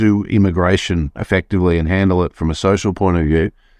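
Over a quiet background, a man with an Australian accent speaks at a fairly quick pace. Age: 50s. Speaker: economist. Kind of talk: podcast interview.

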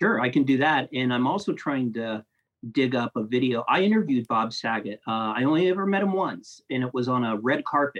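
A man with a Midwestern American accent talks at a fairly quick pace. His pitch sits in the medium range. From US Midwest, Ohio (Columbus, Grove City). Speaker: film critic and video editor. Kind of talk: casual interview chat.

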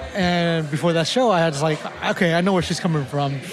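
The speech moves very fast with ordinary pitch variation, heard through audible room echo and noticeable background noise. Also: man. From Thailand, Lao family, raised in Oakland. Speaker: chef and restaurant owner. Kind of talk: interview.

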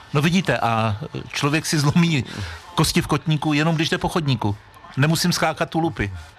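A man with a fairly high pitch talks at a fairly quick pace, his loudness very even and his pitch variation ordinary. Noticeable background noise runs under the recording. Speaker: radio sports host. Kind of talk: radio interview. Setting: outdoor festival stage.

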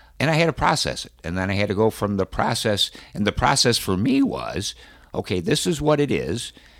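At a fairly quick pace, a man with a medium pitch and vocal fry swings very widely in pitch. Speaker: cancer survivor and internet radio host. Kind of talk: interview. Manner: energetic, lively.

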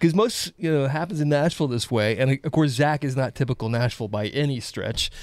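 Hardly any pauses break up the speech. It runs at a fairly quick pace. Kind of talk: casual interview chat. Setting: studio.

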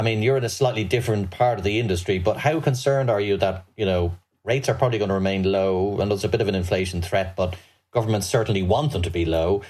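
A man's very fast, somewhat breathy speech at fairly low pitch, with very even loudness and ordinary pitch variation. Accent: Irish. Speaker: podcast host, financial journalist. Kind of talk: interview. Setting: remote video call.

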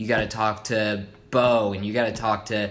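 A man speaks in an American accent at a fairly low pitch. His tone is bright and sharp, his intonation flat and monotone. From US Midwest, Evansville, Indiana. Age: 20s. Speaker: video production entrepreneur. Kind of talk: interview. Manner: hesitant, many fillers.

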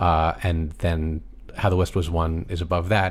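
Somewhat breathy and very deep in pitch, a man with an American accent talks at a moderate pace. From United States. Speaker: film score podcast co-host. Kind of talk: casual chat.

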